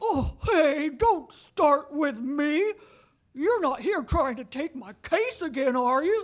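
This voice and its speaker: A put-on character voice sits at a high pitch. It moves at a fairly slow pace. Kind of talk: radio play performance.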